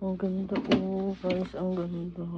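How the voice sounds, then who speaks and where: Somewhat breathy and dark, mellow in tone, a woman speaks at a fairly low pitch. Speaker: vlogger. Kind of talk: casual vlog chat. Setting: store.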